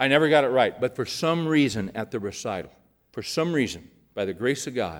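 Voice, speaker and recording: On a very clean recording with a silent background, a man with an unremarkable speaking voice talks at a moderate pace in a medium pitch, with lively intonation. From California, Bakersfield. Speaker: pastor. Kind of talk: sermon.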